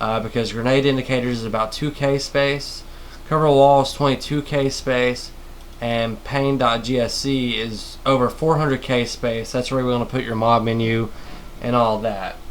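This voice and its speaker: A man speaks in a flat, monotone way. Room echo is audible, and there is noticeable background noise. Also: medium pitch for a man. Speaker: modding tutorial maker. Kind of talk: screen-recorded tutorial. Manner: fast; stuttering, halting.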